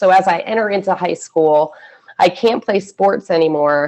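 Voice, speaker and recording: With an American accent, a woman speaks in a plain, everyday voice, pitched fairly low with ordinary pitch variation. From US Northeast, Philadelphia area then southern Michigan. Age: 40s. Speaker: former extremist turned prevention worker. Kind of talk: personal testimony in webinar. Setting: video call webinar. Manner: casual, frequent fillers like 'like' and 'um'.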